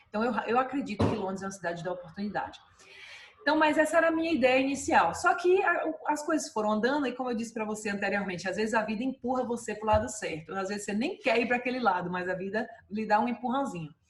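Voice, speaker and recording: Very fast speech with lively intonation over noticeable background noise. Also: woman, fairly high pitch for a woman. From Brazil, Salvador, Bahia. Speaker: dentist and clinic owner. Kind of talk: interview. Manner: many fillers and hesitations.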